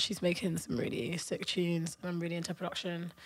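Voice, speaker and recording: The speaker talks at a very fast pace in a London accent. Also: woman. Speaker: dance music artist, interviewed guest. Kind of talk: casual chat, podcast interview.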